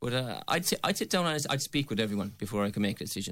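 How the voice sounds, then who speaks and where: In a Limerick accent, a man talks at a very fast pace on a very clean recording with a silent background. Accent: Irish (Limerick). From Ireland, County Limerick. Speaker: election candidate. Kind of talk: radio election debate.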